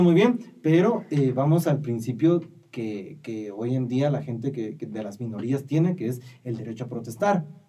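Using a plain, everyday voice, a man at a medium pitch speaks at a moderate pace with lively intonation and big swings in loudness. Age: 20s. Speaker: podcast co-host. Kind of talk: casual chat.

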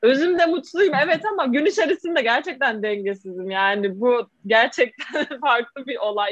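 Her pitch swings very widely as this high-voiced woman talks. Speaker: social media influencer and food content creator. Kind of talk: casual interview chat. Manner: animated.

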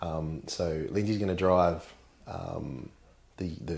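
Speaking with an Australian accent, a man uses a very deep, low pitch and fairly even intonation. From Mid North Coast, New South Wales, Australia. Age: 30s. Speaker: insurance broker and rally driver. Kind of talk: casual interview chat.

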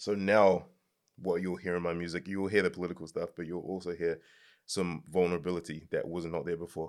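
A man with a New Zealand accent and a very deep, low pitch talks at a fairly quick pace in a monotone, flat intonation, on a very clean recording with a silent background. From New Zealand, Nigerian parents. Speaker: music artist. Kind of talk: casual chat.

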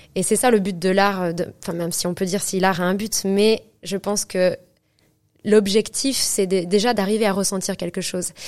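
Monotone, flat intonation from a woman on a very clean recording with a silent background. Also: medium pitch for a woman, moderate pace. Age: 20s. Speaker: opera singer. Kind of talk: interview. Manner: halting.

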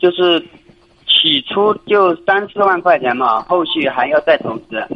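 Long, frequent pauses interrupt the very slow pace of the talking. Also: man. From Jiangxi, China. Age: 20s. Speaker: caller. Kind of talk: phone call-in. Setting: phone call. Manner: halting. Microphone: poor phone line.

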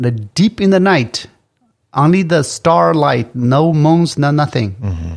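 A man talks at a fairly slow pace in a fairly high voice with very wide pitch swings. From Tibet. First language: Tibetan. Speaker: restaurant owner. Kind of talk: casual chat.

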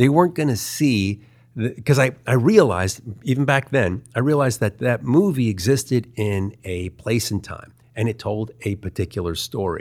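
With an American accent and a normal speaking voice, a man speaks at medium pitch and a moderate pace, his intonation lively, in a very clean recording with a silent background. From US, Baltimore, Maryland. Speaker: animation artist. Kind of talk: interview, casual chat.

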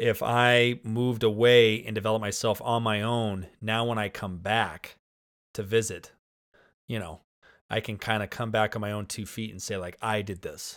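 On a very clean recording with a silent background, a man with an American accent and a fairly low pitch speaks at a moderate pace. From Spokane, Washington, US. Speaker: high school football coach. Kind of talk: casual chat. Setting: basement home studio. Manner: animated, talks with hands.

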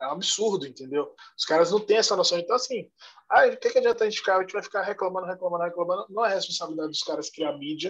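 A man speaks at a very fast pace in a high pitch. His pitch varies in an ordinary way. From Salvador, Bahia, Brazil. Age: 30s. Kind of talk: podcast interview.

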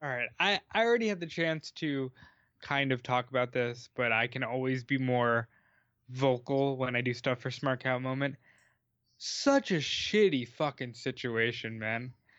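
A man at medium pitch talks at a moderate pace with ordinary pitch variation and a normal speaking voice. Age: 20s. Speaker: wrestling podcast co-host. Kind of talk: casual chat.

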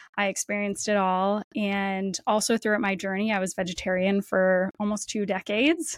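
A woman with a Canadian accent has an unremarkable speaking voice at a medium pitch, with fairly even intonation and a moderate pace. The very clean recording has a silent background and a dry, close sound with no echo. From Canada, Windsor, Ontario. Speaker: nutritionist and podcast host. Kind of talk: interview conversation.

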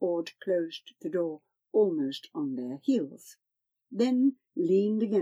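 Against a quiet background, someone reads in a natural voice.

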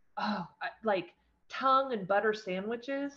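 This woman has an American accent and a medium pitch. Her pitch varies in an ordinary way. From Eastern Oregon, US. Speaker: rancher and endurance horse racer. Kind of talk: casual interview.

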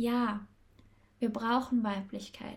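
A woman speaks very slowly in a fairly high, somewhat breathy voice. Her tone is dark and mellow. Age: 20s. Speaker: podcast host and feminine-energy coach. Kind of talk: solo podcast monologue.

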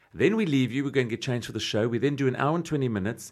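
A man at medium pitch and a very fast pace, on a very clean recording with a silent background. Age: 40s. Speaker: drag performer. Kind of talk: casual chat. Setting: studio.

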